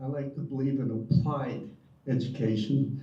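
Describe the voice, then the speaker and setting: A man speaks at a medium pitch. Noticeable background noise and audible room echo fill the recording. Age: 70s. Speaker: retired prison volunteer. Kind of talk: audience comment.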